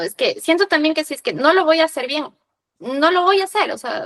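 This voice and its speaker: A woman with a Quito accent, talking at a very fast pace. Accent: Quito Ecuadorian Spanish, kept. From Ecuador, Quito. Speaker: podcast host. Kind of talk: casual chat.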